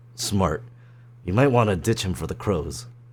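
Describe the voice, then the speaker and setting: A man puts on a raspy character voice, very deep and low, delivered at a moderate pace. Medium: virtual streamer. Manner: calm, soothing.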